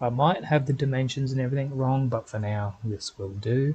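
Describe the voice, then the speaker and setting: Speaking at a moderate pace, a man with a plain, everyday voice holds a medium pitch with ordinary pitch variation. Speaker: gaming video creator. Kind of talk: gameplay commentary.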